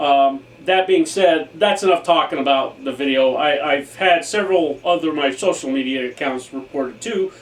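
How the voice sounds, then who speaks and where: A man with a fairly high voice and ordinary pitch variation keeps a moderate pace while noticeable background noise carries on. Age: 60s. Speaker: airsoft YouTuber. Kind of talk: casual vlog monologue. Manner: halting with fillers.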